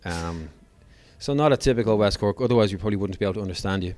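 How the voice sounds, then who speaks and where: This man speaks with an Irish accent at a fairly low pitch and ordinary pitch variation. The recording is very clean, with a silent background. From Ireland. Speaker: podcast host. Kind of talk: podcast interview.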